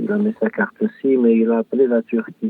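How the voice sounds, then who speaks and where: A man speaking at a very slow pace. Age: 70s. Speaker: author, bereaved father. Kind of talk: interview testimony. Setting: small booth in coworking space. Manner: emotional.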